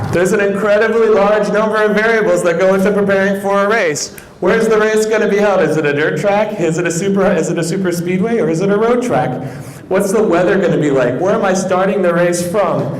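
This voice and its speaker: A man speaks very fast in a high pitch with ordinary pitch variation and very even loudness, amid noticeable background noise and audible room echo. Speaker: math educator. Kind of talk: conference talk. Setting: stage with audience. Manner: animated.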